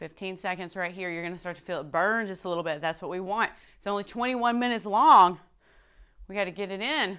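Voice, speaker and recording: On a very clean recording with a silent background, a woman talks at a very fast pace in an energetic tone with ordinary pitch variation. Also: medium pitch for a woman. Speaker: fitness instructor. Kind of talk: workout instruction. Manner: quiet.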